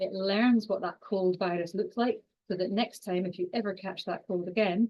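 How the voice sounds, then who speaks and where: A woman in a strong Scottish accent, with fairly even intonation. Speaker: exercise and cancer researcher. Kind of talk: online lecture. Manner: fast.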